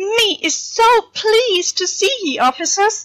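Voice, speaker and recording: A woman puts on a squeaky character voice. Her pitch is extremely high. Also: fairly slow pace. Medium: read story. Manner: broken grammar, nervous.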